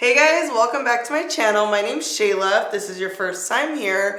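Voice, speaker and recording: Amid noticeable background noise and audible room echo, a woman talks at a moderate pace with a medium pitch. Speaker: beauty youtuber. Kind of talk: makeup review tutorial. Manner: casual, animated.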